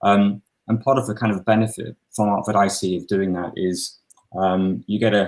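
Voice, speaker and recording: A man's very deep, low voice with fairly even intonation. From northern England, Newcastle upon Tyne. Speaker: local councillor. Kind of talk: casual interview. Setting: video call. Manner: halting, many fillers.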